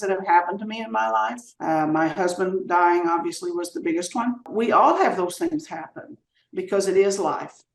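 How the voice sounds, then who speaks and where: A woman at a medium pitch, lively intonation and a fairly quick pace. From US South. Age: 70s. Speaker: retired teacher and former mayor. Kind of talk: podcast interview. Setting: podcast.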